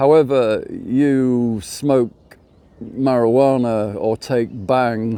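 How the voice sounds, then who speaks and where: A man's medium-pitched voice carries a dark, mellow tone. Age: 60s. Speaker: vlogger. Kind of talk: casual monologue. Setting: outdoors by a lake. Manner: conversational, with repetitions.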